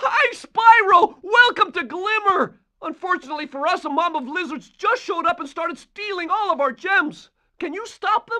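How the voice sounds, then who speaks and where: Someone performs a put-on character voice with an extremely high pitch at a moderate pace. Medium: video game. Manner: friendly.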